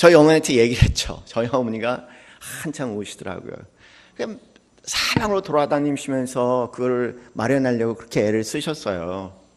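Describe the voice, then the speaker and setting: A man at a medium pitch and moderate pace, with big swings in loudness. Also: lively intonation. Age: 60s. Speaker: pastor. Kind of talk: sermon. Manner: hesitant, many fillers.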